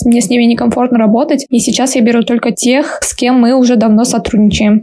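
A woman talks at a fairly quick pace in a high pitch with monotone, flat intonation. Noticeable background noise can be heard. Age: 20s. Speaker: English teacher and blogger. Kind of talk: casual chat.

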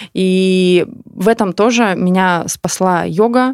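A woman's medium-pitched voice with ordinary pitch variation, dry and close with no echo. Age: 30s. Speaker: yoga studio founder and owner. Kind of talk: casual interview chat. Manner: halting, many fillers and restarts.

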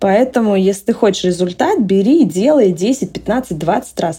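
Speech comes at a fairly slow pace with ordinary pitch variation over noticeable background noise. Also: woman. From Russia. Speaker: entrepreneur. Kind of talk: interview.

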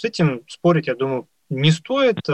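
An ordinary speaking voice from a man with lively intonation, dry and close with no echo. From Moscow. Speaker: radio host, journalist. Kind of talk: live radio talk.

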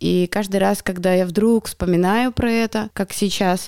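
A woman talks in an unremarkable speaking voice on a very clean recording with a silent background. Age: 30s. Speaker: media assistant and psychologist. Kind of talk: casual chat. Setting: studio.

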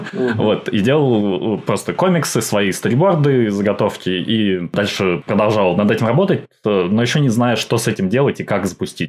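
At a moderate pace and with hardly any pauses, a man talks in an ordinary speaking voice, fairly low in pitch, with ordinary pitch variation and very even loudness. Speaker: animator and creative producer. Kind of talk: podcast interview.

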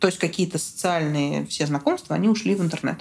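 Noticeable background noise behind a woman's moderately paced talk. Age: 20s. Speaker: guest sharing depression experience. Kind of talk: personal testimony in conversation.

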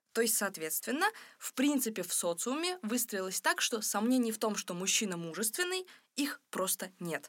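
A woman speaks at a fairly high pitch that swings very widely. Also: moderate pace. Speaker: podcast co-host. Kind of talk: casual chat. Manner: halting.

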